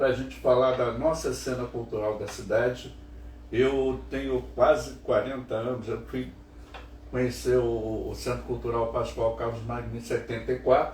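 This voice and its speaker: A man talks fairly slowly, and room echo can be heard around him. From Niterói, Rio de Janeiro, Brazil. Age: 70s. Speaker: cultural show host. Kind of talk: casual interview chat. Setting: home studio.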